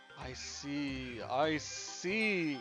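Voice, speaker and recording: A put-on character voice at a middle pitch, with clear music in the background. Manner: slow, ominous.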